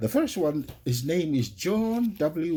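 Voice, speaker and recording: In a Tongan accent, a somewhat breathy voice with a dark, mellow tone and very wide pitch swings moves at a fairly slow pace on a very clean recording with a silent background. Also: man. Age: 60s. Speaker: religious podcast host. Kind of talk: religious podcast talk.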